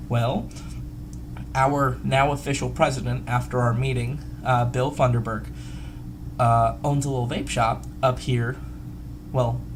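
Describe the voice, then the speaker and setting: A man speaks with long, frequent pauses. Noticeable background noise and audible room echo are present. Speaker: vape community video host. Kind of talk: casual vlog. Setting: hotel room. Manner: animated; fast.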